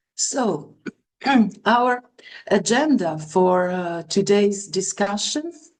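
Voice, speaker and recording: A woman's medium-pitched voice with a non-native accent, very slow, with lively intonation and long, frequent pauses. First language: Italian. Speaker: acupuncturist and lecturer. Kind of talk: webinar lecture.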